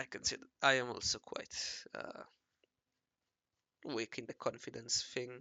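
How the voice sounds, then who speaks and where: Whispering at a moderate pace, a man is the speaker. Long pauses come often. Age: 20s. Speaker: amateur artist. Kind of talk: casual chat while drawing. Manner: rambling, halting.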